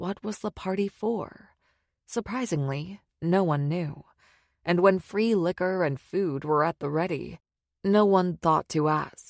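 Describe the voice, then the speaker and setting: In a plain, everyday voice, a woman speaks fairly slowly at a fairly low pitch with ordinary pitch variation. The sound is dry and close with no echo, over a quiet background. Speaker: audiobook narrator. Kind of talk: audiobook narration, thriller.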